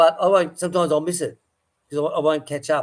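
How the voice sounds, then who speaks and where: This man speaks at a fairly high pitch with an Australian accent. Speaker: farmer and livestream host. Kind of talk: casual livestream chat.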